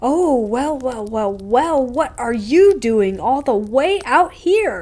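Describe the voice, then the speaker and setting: A woman adopts a put-on character voice, high in pitch and delivered at a very slow pace. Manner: creepy, taunting.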